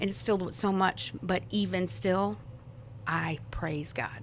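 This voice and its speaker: Vocal fry marks this very slow voice with an American accent. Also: woman. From US Midwest, South St. Louis, Missouri. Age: 40s. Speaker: church member sharing testimony. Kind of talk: testimony.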